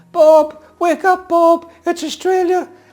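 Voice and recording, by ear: In a put-on character voice, a female-sounding speaker squeaks at an extremely high pitch, fairly slowly and in a flat monotone.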